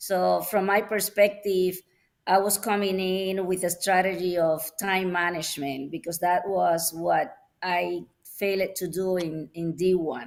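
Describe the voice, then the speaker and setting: Fairly even intonation marks a woman's fairly slow speech. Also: medium pitch for a woman. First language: not English. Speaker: wine student. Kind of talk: panel discussion.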